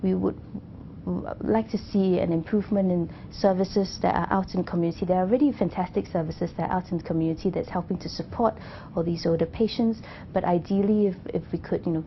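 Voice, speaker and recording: Speaking at a very fast pace, a woman has a medium pitch and ordinary pitch variation. Her voice is somewhat breathy. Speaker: cancer doctor. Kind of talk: interview answer.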